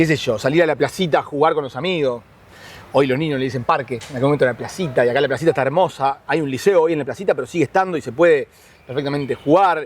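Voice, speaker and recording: A man with a fairly high pitch talks very fast, with ordinary pitch variation. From Uruguay, Montevideo (La Teja). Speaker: neighborhood resident interviewee. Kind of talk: interview testimony. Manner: halting, repeats words.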